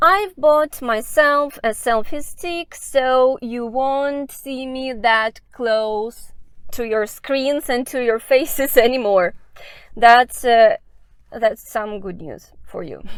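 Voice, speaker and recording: Someone with a Russian accent speaks very slowly with ordinary pitch variation. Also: woman, high pitch for a woman. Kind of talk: casual walking vlog talk to camera. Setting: outdoors. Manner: unscripted, hesitant.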